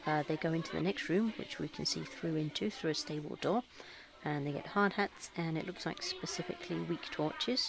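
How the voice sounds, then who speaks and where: Rather briskly and with normal pitch movement, a woman speaks as clear background noise plays behind her. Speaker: travel vlogger. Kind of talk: casual vlog narration. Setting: cafe.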